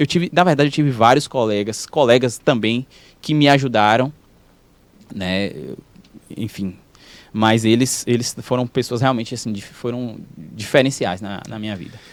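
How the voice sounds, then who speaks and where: At a moderate pace, a man with a slight rural Brazilian accent speaks at medium pitch with ordinary pitch variation, long, frequent pauses and big swings in loudness. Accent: Brazilian countryside accent, slight. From Brazilian countryside (interior). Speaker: physiotherapist and professor. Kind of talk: podcast interview. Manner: halting, with frequent repetitions.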